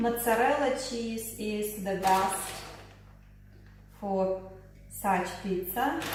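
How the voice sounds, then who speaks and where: The speaker talks at a very slow pace in a Russian accent, with long, frequent pauses. There is audible room echo and noticeable background noise. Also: woman. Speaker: lifestyle vlogger. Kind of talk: cooking tutorial. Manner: halting.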